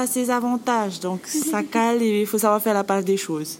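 Noticeable background noise is present throughout. The words come at a fairly slow pace. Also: woman. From French Polynesia, Bora Bora. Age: 20s. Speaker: guesthouse manager. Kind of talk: interview.

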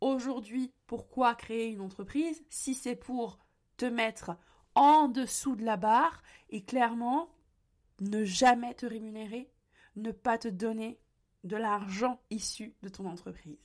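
A woman's animated voice, fairly high in pitch with ordinary pitch variation and long, frequent pauses, on a very clean recording with a silent background. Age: 20s. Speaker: business and mindset coach, podcast host. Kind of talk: solo podcast monologue, motivational. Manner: occasional stumbles and hesitations.

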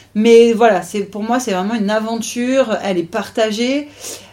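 With a dark, mellow tone, a woman talks at a fairly slow pace. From French Riviera. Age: 30s. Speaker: triathlete. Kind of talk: interview.

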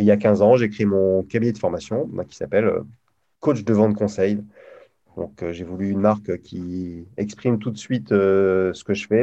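His voice sits fairly low for a man and carries a dark, mellow tone. The intonation is fairly even throughout. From northern France, Lille. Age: 50s. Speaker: sales coach. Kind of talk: casual interview chat.

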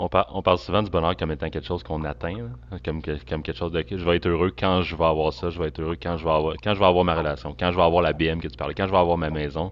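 Talking very fast with hardly any pauses, a man with a Quebec accent uses a very deep, low pitch, fairly even intonation, and vocal fry. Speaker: podcast host. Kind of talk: interview conversation. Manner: halting.

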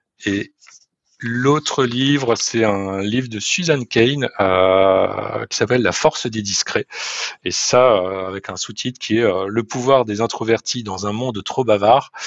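Very slowly, a man talks at a medium pitch. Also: ordinary pitch variation. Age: 40s. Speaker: sales director. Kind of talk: interview. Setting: remote call. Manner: halting.

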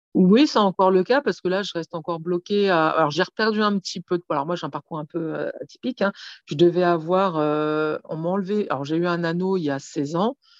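Fairly low-pitched female speech at a fairly quick pace, with ordinary pitch variation, a dry, close sound with no echo and a quiet background. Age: 40s. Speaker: author of a memoir on weight and trauma. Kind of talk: interview.

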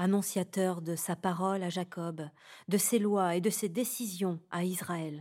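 A very slow, calm, dark and mellow voice with fairly even intonation, in a very clean recording with a silent background. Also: woman, medium pitch for a woman. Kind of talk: guided meditation and prayer. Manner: calm, slow, reverent.

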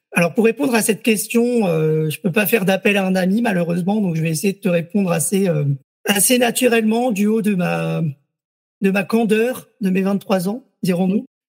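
Talking at a moderate pace, a man uses a high pitch with ordinary pitch variation. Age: 20s. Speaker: entrepreneur and doctoral researcher in communication. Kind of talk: interview.

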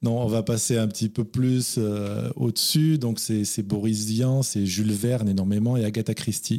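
At a fairly slow pace with hardly any pauses, a man with a medium pitch keeps very even loudness and fairly even intonation in an unremarkable speaking voice. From France. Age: 40s. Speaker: novelist. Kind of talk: interview.

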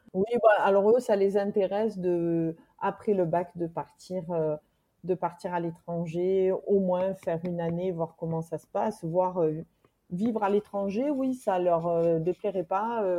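A woman speaks at a very slow pace in a dark, mellow tone, her medium pitch moving with ordinary variation. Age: 40s. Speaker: single mother, expatriate's sister. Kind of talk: interview. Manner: halting.

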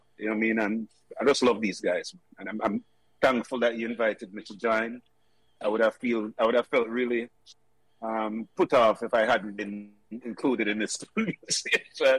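A man's medium-pitched voice in monotone, flat intonation, with a dry, close sound and no echo. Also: moderate pace. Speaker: former schoolmate. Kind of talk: casual chat.

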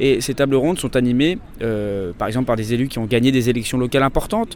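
A man talks at a very fast pace in a medium pitch. His pitch varies in an ordinary way, with noticeable background noise behind him. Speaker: podcast host and political journalist. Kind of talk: on-location reporting. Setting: outdoors at a political rally.

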